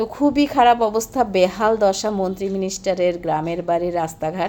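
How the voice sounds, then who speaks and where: Her voice has a dark, mellow tone at a medium pitch for a woman. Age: 40s. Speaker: vlogger. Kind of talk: travel vlog.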